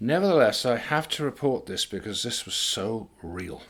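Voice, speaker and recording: A man's medium-pitched voice with a British accent. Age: 70s. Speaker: author and commentator. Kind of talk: monologue talk.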